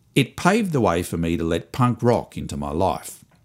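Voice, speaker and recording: A man with an Australian accent, very wide pitch swings and a fairly slow pace, in a very clean recording with a silent background. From Australia, Melbourne suburbs. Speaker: podcast host and musician. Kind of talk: scripted comedic monologue.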